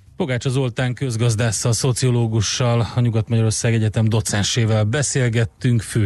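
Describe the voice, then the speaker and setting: Here a man speaks in a normal speaking voice at a medium pitch. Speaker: radio host. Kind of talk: morning radio show chat. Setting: radio studio.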